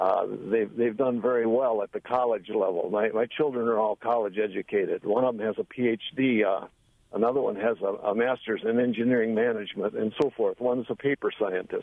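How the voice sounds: A man's fairly low pitch with vocal fry, fairly even intonation and a fairly quick pace, in a dry, close sound with no echo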